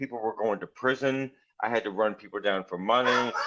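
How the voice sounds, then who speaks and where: This man speaks at a moderate pace at a medium pitch, keeping his intonation fairly even. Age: 60s. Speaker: author and former criminal defense attorney in recovery. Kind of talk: interview testimony. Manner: halting, with many fillers and restarts.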